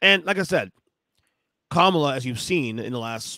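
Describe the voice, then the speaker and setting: With a bright, sharp tone and very wide pitch swings, a man is heard in a dry recording with no echo and a quiet background. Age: 40s. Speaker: podcast host. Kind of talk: casual chat. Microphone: studio mic.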